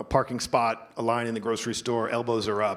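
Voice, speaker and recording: The speaker has an unremarkable speaking voice. The pace is moderate. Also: man. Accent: American. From New Jersey. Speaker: marketing executive. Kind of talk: onstage interview.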